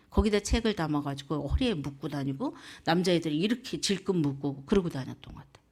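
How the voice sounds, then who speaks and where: Speaking in a Jeolla accent at a fairly quick pace, this voice has lively intonation and big swings in loudness, captured on a very clean recording with a silent background. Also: woman. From South Korea, South Jeolla (Muan). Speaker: evangelist. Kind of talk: sermon.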